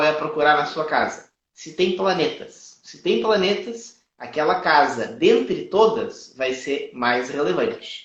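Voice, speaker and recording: A man with a strong southern Brazilian accent, talking at a fairly slow pace. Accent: strong gaúcho (southern Brazilian). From Brazil, Rio Grande do Sul. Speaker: astrologer. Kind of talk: live astrology consultation and teaching. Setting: live stream.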